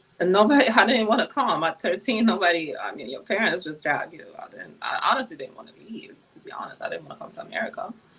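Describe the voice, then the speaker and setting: A woman at a very fast pace, with very wide pitch swings, big swings in loudness and noticeable background noise. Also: fairly high pitch for a woman, hardly any pauses. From Ukraine, Kyiv. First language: Ukrainian or Russian. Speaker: former adult film performer. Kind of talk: interview.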